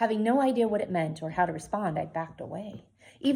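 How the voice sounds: With lively intonation, the reading comes in a natural reading voice.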